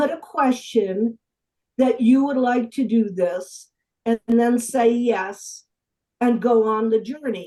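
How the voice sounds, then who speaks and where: Her fairly high voice has a dark, mellow tone, and the woman speaks at a very slow pace with ordinary pitch variation. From Italian-American. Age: 70s. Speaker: UFO researcher and author. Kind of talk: podcast interview. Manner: halting, many restarts.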